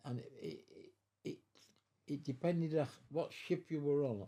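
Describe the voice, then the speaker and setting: A man's fairly high voice with a dark, mellow tone, somewhat breathy, at a fairly slow pace with ordinary pitch variation. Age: 80s+. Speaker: war veteran, former merchant seaman. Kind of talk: interview answer.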